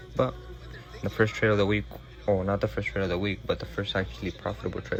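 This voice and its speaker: A man with a very deep, low pitch talks over music in the background. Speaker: forex trader vlogger. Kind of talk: casual chat. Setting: at home.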